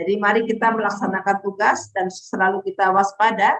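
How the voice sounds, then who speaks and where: A woman is talking. She speaks at a very fast pace. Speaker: training facilitator. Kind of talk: online training lecture. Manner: stern, forceful.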